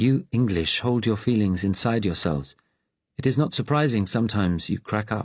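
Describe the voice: The clip is plain reading aloud, and the background is quiet.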